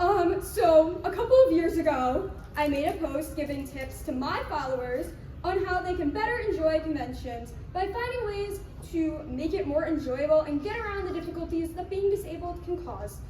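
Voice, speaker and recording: Over noticeable background noise and audible room echo, a woman speaks loudly at a moderate pace, with extremely high pitch and lively intonation. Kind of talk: convention panel talk. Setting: convention room with live audience, no microphone. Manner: loud projected stage voice; hesitant, many filler words. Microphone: no microphone, projecting voice.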